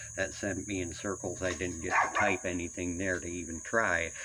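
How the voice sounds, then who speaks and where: Audible room echo surrounds a man whose very deep, low voice has a bright, sharp tone and moves at a moderate pace. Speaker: vlogger. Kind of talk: personal rant monologue. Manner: halting, many fillers.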